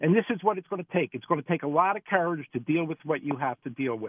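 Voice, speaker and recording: We hear a man. The rise and fall of his pitch is typical. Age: 60s. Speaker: recovering gambler. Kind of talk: testimony. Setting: phone call.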